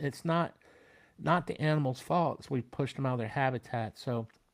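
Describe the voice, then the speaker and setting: A man with an American accent talks at a fairly quick pace in an ordinary speaking voice, recorded very cleanly against a silent background. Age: 60s. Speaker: military veteran. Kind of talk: casual interview chat.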